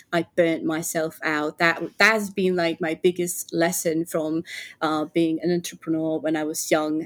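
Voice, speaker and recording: At a moderate pace, a woman talks in a flat, monotone way, the sound dry and close with no echo. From Finland. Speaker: entrepreneur. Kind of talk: casual chat.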